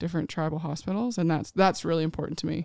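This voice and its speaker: In a Tennessee accent, a woman speaks at a very fast pace on a very clean recording with a silent background and a dry, close sound with no echo. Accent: Southern US (Tennessee). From Nashville, Tennessee. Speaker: ICU travel nurse and social media creator. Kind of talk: casual chat. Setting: studio.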